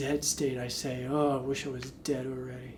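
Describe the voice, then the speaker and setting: Room echo can be heard around this man's voice. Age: 30s. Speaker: street performer. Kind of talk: documentary interview.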